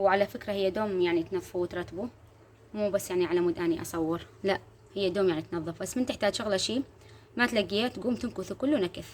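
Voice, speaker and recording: The speaker has an Iraqi accent, a fairly quick pace and ordinary pitch variation. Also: woman. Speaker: homemaker vlogger. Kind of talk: casual vlog narration. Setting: at home.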